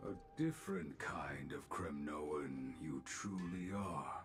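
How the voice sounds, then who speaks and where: Putting on a character voice, a man with a very deep, low pitch speaks at a fairly slow pace over clear background noise. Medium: video game. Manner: inverted word order, measured.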